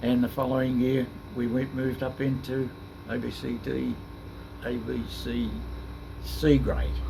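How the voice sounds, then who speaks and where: The speaker is a man. He has an Australian accent. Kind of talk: interview answer. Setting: noisy room with air conditioning. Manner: soft-spoken.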